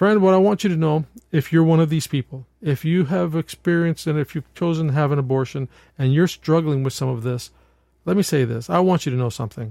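A man's dark, mellow voice at a fairly high pitch, very fast in pace with ordinary pitch variation, dry and close with no echo in a very clean recording with a silent background. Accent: American. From New York State. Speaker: pastor and podcast host. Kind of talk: solo podcast monologue with pastoral reflection. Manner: halting, frequent repetitions and fillers.

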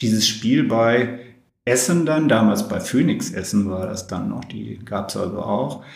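A man's voice rises and falls with lively intonation amid audible room echo and noticeable background noise. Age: 60s. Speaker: former handball player and teacher. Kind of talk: interview. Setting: home kitchen.

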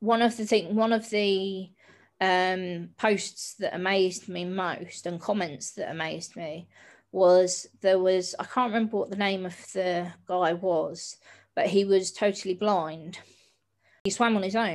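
The speaker has a southern English accent and fairly even intonation. The pace is fairly slow, with long, frequent pauses. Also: woman, very clean recording, silent background. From south coast of England (Hastings). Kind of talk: interview conversation.

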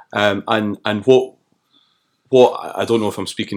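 A man in a Glasgow accent at a fairly quick pace, in a very clean recording with a silent background. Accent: Scottish (Glasgow). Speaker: climate activist. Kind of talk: casual chat. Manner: halting.

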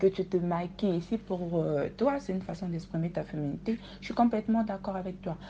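Her tone is dark and mellow, somewhat breathy, at a medium pitch with ordinary pitch variation. This woman talks at a fairly quick pace. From Congo. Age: 20s. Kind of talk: casual chat.

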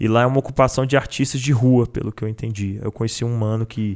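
This man talks at a very fast pace. His intonation stays monotone and flat. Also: very clean recording, silent background. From Federal District, Brazil. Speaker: battle rapper. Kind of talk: casual chat.

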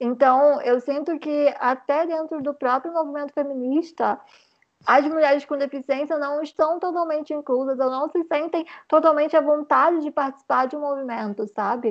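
A woman speaks at a high pitch and a moderate pace. Her intonation is fairly even. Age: 20s. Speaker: journalism student and content creator. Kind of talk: podcast interview.

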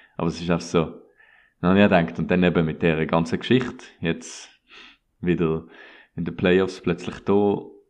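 This man's voice sits very deep and low, with fairly even intonation. The background is quiet. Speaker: sports podcast host. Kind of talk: casual chat.

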